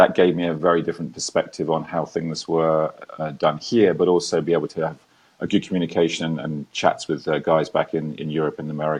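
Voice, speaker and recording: A man talks at a very fast pace in a very deep, low pitch with an English accent. His intonation stays monotone and flat. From England. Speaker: ex-military entrepreneur, talk show guest. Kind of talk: casual interview.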